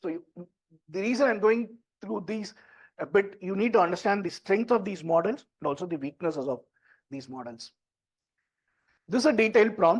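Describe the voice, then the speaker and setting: A man with an Indian accent talks at a fairly quick pace in a high pitch, using lively intonation, big swings in loudness and long, frequent pauses against a quiet background. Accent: Indian English (Tamil). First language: Tamil. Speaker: tech entrepreneur and workshop presenter. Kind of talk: workshop talk. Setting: stage with audience, also streamed online. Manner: conversational.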